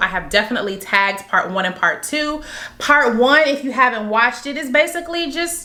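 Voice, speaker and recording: A woman with a high pitch talks at a fairly quick pace with very wide pitch swings, and background noise is noticeable. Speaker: vlogger. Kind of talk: casual talk to camera.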